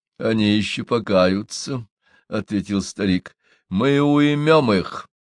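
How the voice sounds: The background stays quiet. A natural reading voice carries the text.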